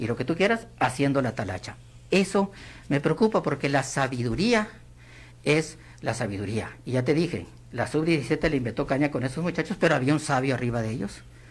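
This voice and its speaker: A man speaks at a fairly quick pace with vocal fry. His pitch sits fairly high, and his intonation is lively. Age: 60s. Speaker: political commentator, former government worker. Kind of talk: radio interview.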